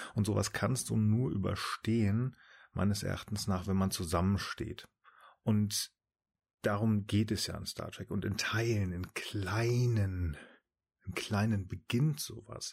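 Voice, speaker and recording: On a very clean recording with a silent background, the speaker talks at a very slow pace with fairly even intonation. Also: man, fairly low pitch for a man. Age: 30s. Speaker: podcast guest, Star Trek fan. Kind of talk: casual chat.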